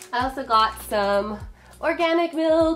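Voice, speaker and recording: A woman at a fairly slow pace, her pitch swinging very widely, with music in the background. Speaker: lifestyle vlogger. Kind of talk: casual haul video. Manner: chatty, informal.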